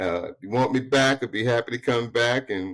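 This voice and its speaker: A man talks at a medium pitch. His pace is moderate. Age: 60s. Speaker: financial consultant. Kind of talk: interview conversation. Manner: animated.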